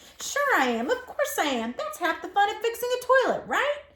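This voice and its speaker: Putting on a squeaky character voice, a woman speaks at a fairly quick pace with an extremely high pitch. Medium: read story. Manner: warm, teasing.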